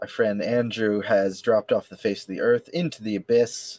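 A man with a plain, everyday voice at a moderate pace, dry and close with no echo. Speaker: podcast host. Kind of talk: casual banter podcast chat.

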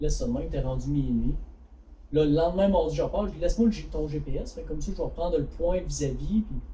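With audible room echo, a man talks at a fairly quick pace in a Quebec accent. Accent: Québécois French. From Quebec, Bas-Saint-Laurent (La Pocatière). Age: 20s. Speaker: hunting and fishing store co-owner. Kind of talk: casual chat. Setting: studio.

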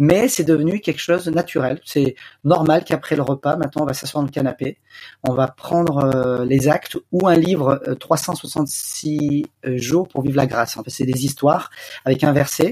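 Somewhat breathy and fairly high-pitched, a man speaks at a fairly slow pace with ordinary pitch variation, the sound dry and close with no echo. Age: 40s. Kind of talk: interview. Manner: hesitant, many fillers.

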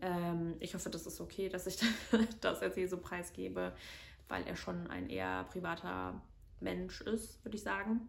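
A woman speaking at a fairly slow pace with long, frequent pauses, in audible room echo. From Germany, near Cologne. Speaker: podcast co-host. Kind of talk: solo personal monologue. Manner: frequent filler sounds (ähm).

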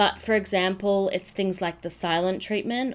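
Ordinary pitch variation marks this woman's voice, captured in a very clean recording against a silent background. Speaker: feminine coach podcast host. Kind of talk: solo podcast monologue. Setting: home office.

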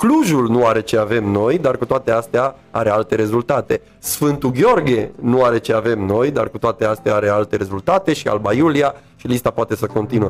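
Against noticeable background noise, a man speaks at a moderate pace and medium pitch, with ordinary pitch variation and hardly any pauses. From Romania, Târgu Mureș. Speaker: actor and theatre director. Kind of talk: interview conversation.

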